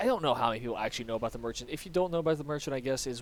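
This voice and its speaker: A man mumbles as he speaks. His pitch variation is ordinary. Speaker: gaming YouTuber. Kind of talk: gameplay commentary. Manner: quiet; mumbling.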